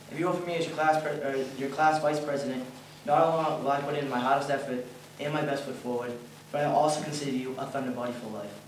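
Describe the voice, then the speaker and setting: Talking very fast with a strong Boston accent, a man at a fairly high pitch keeps his intonation fairly even amid noticeable background noise and audible room echo. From Boston, Massachusetts. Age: young. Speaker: college student election candidate. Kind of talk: campaign speech.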